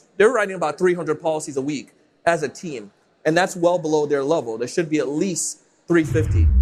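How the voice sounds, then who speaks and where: A man with a high pitch, an animated tone, ordinary pitch variation and a fairly quick pace. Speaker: sales consultant and podcast host. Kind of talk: live panel talk. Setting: stage with audience. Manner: fast.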